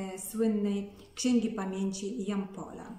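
Very slow speech from a woman, in audible room echo. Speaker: narrator of local history. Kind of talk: talk to camera on a poet's life. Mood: calm, earnest. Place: home room. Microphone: phone near.

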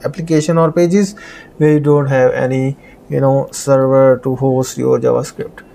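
The man's intonation stays fairly even. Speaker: programming tutor. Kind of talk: tutorial.

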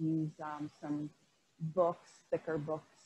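A woman's very deep, low-pitched voice, dark, mellow and somewhat breathy, with light background noise. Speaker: yoga instructor. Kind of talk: instruction. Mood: calm, soothing. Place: home room.

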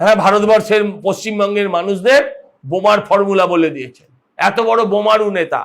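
The man's pitch is high, with ordinary pitch variation. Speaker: politician. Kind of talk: political speech to press. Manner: sarcastic, emphatic.

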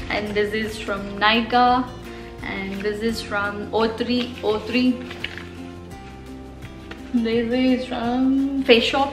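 Clear music plays in the background as a woman speaks at a very slow pace. Her intonation is monotone and flat, with long, frequent pauses. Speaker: beauty vlogger. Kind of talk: casual vlog chat. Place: home room.

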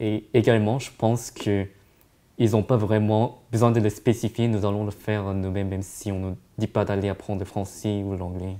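The voice has a dark, mellow tone and monotone, flat intonation, delivered at a moderate pace. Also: man, fairly low pitch for a man. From East Asia. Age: young. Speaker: student; interviewee. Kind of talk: interview; interview answer. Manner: halting. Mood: calm, reflective. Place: meeting room.

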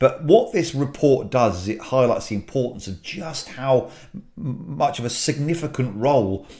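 A man talks with lively intonation at a moderate pace, his voice somewhat breathy with a dark, mellow tone. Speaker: aviation educator; aviation channel host. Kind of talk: video briefing. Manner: hesitant, many fillers. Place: home room.

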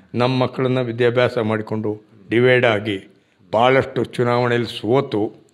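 Against a quiet background, a man speaks at a medium pitch with monotone, flat intonation. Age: 60s. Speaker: village council member and farmer; village council member. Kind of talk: interview. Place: office. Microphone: handheld.

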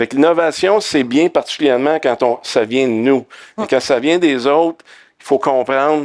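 Against a quiet background, a man with a fairly high pitch talks at a moderate pace with ordinary pitch variation. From Quebec. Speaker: tech company co-founder; panelist. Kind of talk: panel discussion. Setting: conference stage with audience. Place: stage. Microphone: headset.

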